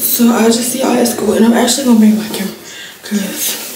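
A woman talks at a fairly quick pace with monotone, flat intonation. The recording has audible room echo and noticeable background noise. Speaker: student vlogger. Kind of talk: casual vlog chat. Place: bathroom. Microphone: phone near.

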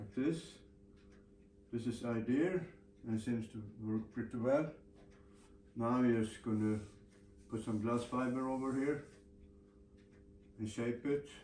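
Amid light background noise and audible room echo, a man with a dark, mellow tone speaks at a fairly slow pace in fairly even intonation, with long, frequent pauses. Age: 80s+. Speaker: sailor and boatbuilder. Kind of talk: workshop video diary. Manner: casual, conversational. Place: workshop.

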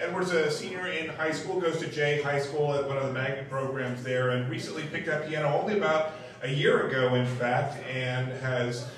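Amid noticeable background noise and strong room echo, a man speaks at a moderate pace with fairly even intonation and hardly any pauses. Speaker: open mic host. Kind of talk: stage introduction. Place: stage.

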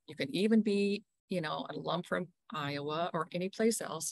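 The woman's voice sits at a fairly low pitch. The sound is dry, with no echo. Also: quiet background. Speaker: program director hosting meeting. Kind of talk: meeting welcome talk. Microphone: video call.

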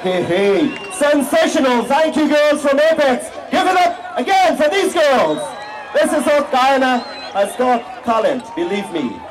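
A man speaks at a fairly slow pace with lively intonation. Crowd noise carries in the background. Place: stadium.

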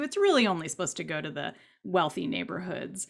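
Over a quiet background, a woman talks at a fairly low pitch. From Southern California. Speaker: novelist; panelist. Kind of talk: panel discussion. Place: home room. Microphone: webcam.

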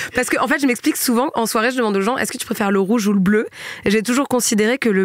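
Over noticeable background noise, a woman with a fairly high pitch talks at a very fast pace, her pitch varying in an ordinary way. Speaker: podcast host. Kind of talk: casual chat. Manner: animated.

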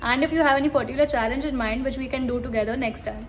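A high-pitched woman at a very fast pace, fairly even intonation, and faint background music. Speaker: vlogger. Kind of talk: casual vlog chat. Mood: cheerful, warm. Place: home room. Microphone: phone near.

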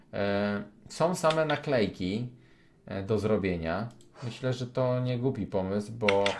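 A man's medium-pitched voice at a very slow pace, lively intonation, noticeable background noise. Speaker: gaming youtuber. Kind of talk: casual gameplay commentary.

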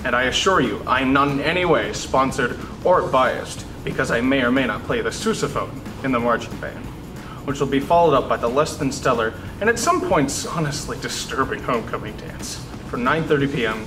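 Over music in the background, a man speaks at a moderate pace with ordinary pitch variation. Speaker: student news anchor. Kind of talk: news announcements with jokes. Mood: dry deadpan humor. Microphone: lapel.

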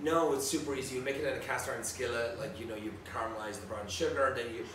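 A man talks at a very fast pace. Noticeable background noise and audible room echo surround him. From Ireland, County Tipperary. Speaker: celebrity chef. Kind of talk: casual chat. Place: home room.

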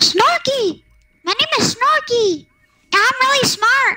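A woman uses a put-on character voice, squeaky and extremely high in pitch. She talks at a fairly slow pace with lively intonation. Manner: silly, cartoonish, boastful.

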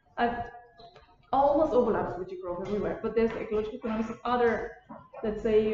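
A woman speaks with a fairly high pitch and ordinary pitch variation. Light background noise and audible room echo are present. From Bulgaria. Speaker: postdoctoral researcher; lecturer. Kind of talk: lecture. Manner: halting. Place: classroom. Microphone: camera far.

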